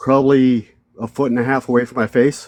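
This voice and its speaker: A man's medium-pitched voice, monotone and flat in intonation, at a moderate pace, with a dry, close sound and no echo. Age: 60s. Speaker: army veteran recounting encounter. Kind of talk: testimony. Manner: halting.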